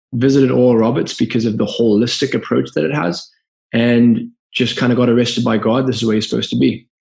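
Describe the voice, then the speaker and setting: A man with a Zimbabwean accent, medium pitch and fairly even intonation. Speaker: business founder. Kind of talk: podcast interview. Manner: halting.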